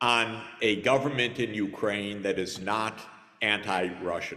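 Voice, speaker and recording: Amid audible room echo, a man with an American accent and a fairly low pitch speaks at a very slow pace. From United States. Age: 60s. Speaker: conference panelist. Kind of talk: panel discussion.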